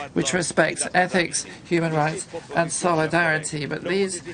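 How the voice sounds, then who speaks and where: Against noticeable background noise, a woman speaks at a moderate pace with a fairly low pitch. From Portugal. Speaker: parliamentarian. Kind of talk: parliamentary speech.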